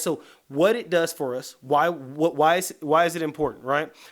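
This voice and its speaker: Over a very clean recording with a silent background, a man with an American accent speaks in an animated tone at a fairly high pitch. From US South, East Atlanta, Georgia. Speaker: motivational speaker. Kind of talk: live motivational talk. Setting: creative studio, live stream. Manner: fast.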